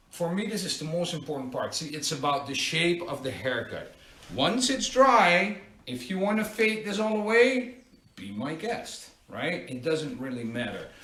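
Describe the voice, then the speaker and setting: A man with a Dutch accent speaks at a moderate pace and a high pitch with very wide pitch swings, amid audible room echo and noticeable background noise. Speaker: barber. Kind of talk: live tutorial. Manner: casual, conversational.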